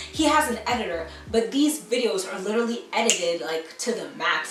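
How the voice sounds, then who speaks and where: Over music in the background, a woman speaks fairly quickly in a fairly high, animated voice with lively intonation and audible room echo. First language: French. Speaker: beauty YouTuber. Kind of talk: commentary rant.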